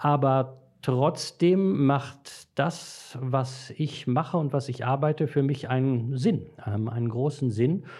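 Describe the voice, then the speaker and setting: A man's fairly high-pitched, somewhat breathy voice at a very slow pace, with hardly any pauses and ordinary pitch variation. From Dortmund, Ruhr area, Germany. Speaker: priest trainer and author. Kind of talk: casual chat.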